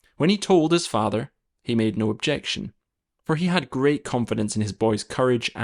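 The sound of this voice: Quiet background behind an unforced reading voice with lively intonation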